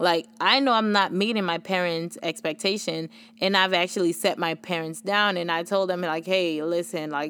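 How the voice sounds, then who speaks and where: A woman talks at a fairly quick pace with a Haitian accent. The recording is very clean, with a silent background. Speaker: podcast host. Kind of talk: casual solo podcast talk. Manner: casual, conversational.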